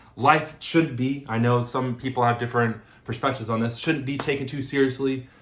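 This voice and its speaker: Speaking at a fairly quick pace, a man delivers his words in a monotone, flat intonation with a somewhat breathy sound. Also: medium pitch for a man. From US. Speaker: dating vlogger and podcast host. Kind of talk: casual chat. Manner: fast.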